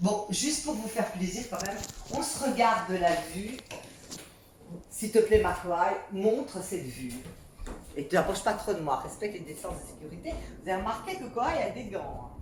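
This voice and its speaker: Amid noticeable background noise and audible room echo, a woman at medium pitch speaks at a moderate pace with lively intonation, big swings in loudness, and long, frequent pauses. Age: 60s. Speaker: vlogger. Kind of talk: home video tutorial. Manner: halting.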